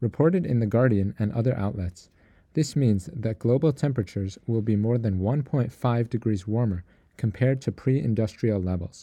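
Pitched in the middle range for a man, an unremarkable speaking voice moves at a moderate pace with ordinary pitch variation. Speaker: radio news host. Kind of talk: newsreading. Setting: radio studio. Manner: formal; steady, measured.

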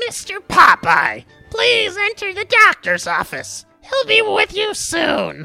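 A man puts on a character voice that is extremely high, bright and sharp, with vocal fry, very wide pitch swings and a slow pace, over faint music in the background.

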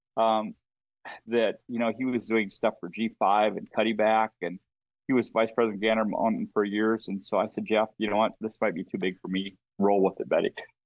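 A man with an Upper Midwest accent, talking at a fairly quick pace in a monotone, flat intonation. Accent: Upper Midwest (Minnesota). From Minnesota. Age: 50s. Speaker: brand marketer in the outdoor industry. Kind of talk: casual chat interview. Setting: remote call from a hunting camp.

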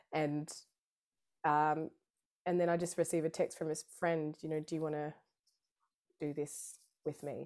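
Long, frequent pauses at a fairly slow pace, monotone and flat in intonation, on a very clean recording with a silent background. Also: woman, very deep, low pitch for a woman. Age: 30s. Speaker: harpist, vocalist and music therapist. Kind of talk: casual interview chat. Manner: halting, many fillers and restarts.

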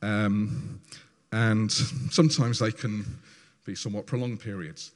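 This man's voice sits fairly low in pitch. He speaks at a moderate pace. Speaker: church service leader. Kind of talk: church talk introducing testimonies. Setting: church. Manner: halting.

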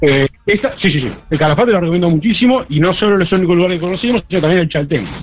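Talking very fast with hardly any pauses, a man with a high voice uses ordinary pitch variation. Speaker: accountant, listener caller. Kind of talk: casual chat.

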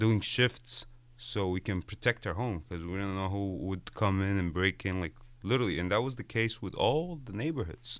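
A man's fairly low voice in an Arabic accent, at a moderate pace with ordinary pitch variation. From Egypt. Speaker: visual artist. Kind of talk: interview. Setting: studio.

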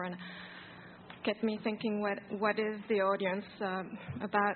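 Speaking at a moderate pace, a woman with a medium pitch delivers her words in a monotone, flat intonation. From France. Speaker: audience member, researcher. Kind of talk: audience question.

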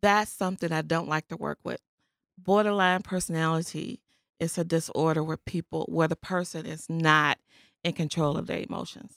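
A plain, everyday voice with an American accent talks at a moderate pace and fairly even intonation. The recording is very clean with a silent background, and the sound is dry and close with no echo. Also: woman, fairly low pitch for a woman. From Chicago West Side. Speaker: therapist. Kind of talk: interview. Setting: studio.

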